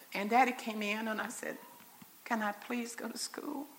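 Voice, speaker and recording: A woman with an American accent speaks at a moderate pace in a high voice. Her intonation is fairly even, and there is noticeable background noise. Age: 60s. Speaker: mother and speaker at church convention. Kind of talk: sermon-style talk. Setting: church stage with audience, in wheelchair. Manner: conversational, folksy.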